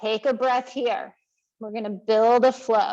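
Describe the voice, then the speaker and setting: Very slow speech from a woman. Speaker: yoga teacher. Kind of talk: guided yoga class. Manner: loud.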